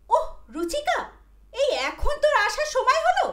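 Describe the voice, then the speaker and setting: Putting on a squeaky character voice, a woman speaks at a moderate pace with extremely high pitch and very wide pitch swings. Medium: audio drama. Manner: brisk, scolding.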